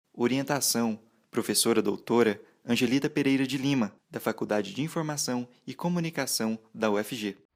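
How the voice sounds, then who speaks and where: This man has a normal speaking voice, medium pitch, ordinary pitch variation and a moderate pace. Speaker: journalism student, narrator. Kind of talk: literary audio profile narration.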